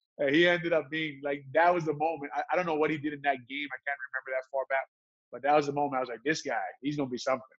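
Against a quiet background, a man speaks very fast in a monotone, flat delivery, the sound dry with no echo. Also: fairly high pitch for a man. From Hawaii. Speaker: retired pro football player; interview guest. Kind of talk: casual interview chat. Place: home room. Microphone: webcam.

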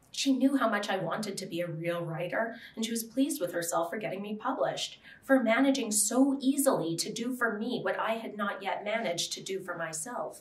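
Audible room echo carries a woman's lively intonation as she speaks at a fairly quick pace, with an American accent and hardly any pauses. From US Southwest. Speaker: author; writer on a panel. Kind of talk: reading aloud. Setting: stage with audience. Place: meeting room. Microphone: podium.

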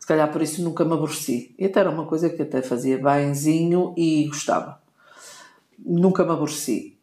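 Very deep, low-pitched woman at a fairly quick pace with fairly even intonation. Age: 60s. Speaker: podcast co-host, wife of the host. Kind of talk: casual chat.

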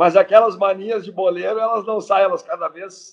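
Against a quiet background, a man speaks at a moderate pace. His pitch is high, with ordinary variation. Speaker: football coach guest. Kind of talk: interview answer. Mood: jovial, laughing. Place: home room. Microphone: video call.

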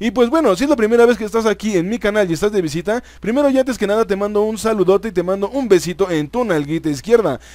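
Speaking with a Mexican accent, a man with a high pitch and an animated tone races along at a very fast pace with lively intonation and hardly any pauses. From Mexico. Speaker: gaming youtuber. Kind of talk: gameplay commentary.

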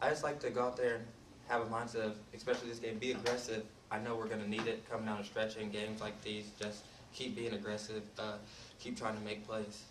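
Over noticeable background noise, a man talks at a very fast pace in a monotone, flat intonation. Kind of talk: interview answer. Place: hall.

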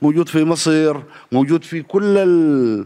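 Speaking fairly slowly, a man uses lively intonation at a fairly high pitch. The background is quiet. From Sudan. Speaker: television and theatre director. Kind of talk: panel discussion on a play. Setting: stage with audience.

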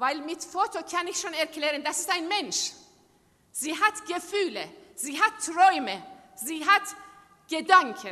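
Against a quiet background, a woman with a Persian accent speaks at a very slow pace in a raised, projected voice, leaving long, frequent pauses. Her intonation is lively and her loudness swings widely. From Iran. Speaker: human rights activist. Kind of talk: speech. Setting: stage with audience. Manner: halting. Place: hall. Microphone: podium.

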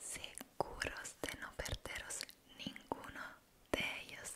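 A woman whispering at a very slow pace. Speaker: ASMR creator. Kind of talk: soft-spoken ASMR talk to viewers. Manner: soft close-mic ASMR voice. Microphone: studio mic.

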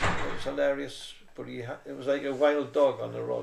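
There is light background noise behind this man's voice. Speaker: interviewee. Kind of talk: interview answer. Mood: amused, storytelling. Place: home room. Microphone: camera far.

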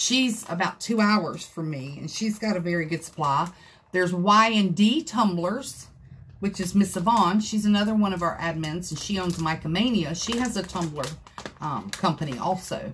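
Over light background noise, a woman sounds animated and somewhat breathy, moving at a moderate pace with ordinary pitch variation. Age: 50s. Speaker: craft video creator. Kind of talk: livestream tutorial. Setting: craft room livestream. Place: home room. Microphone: phone near.

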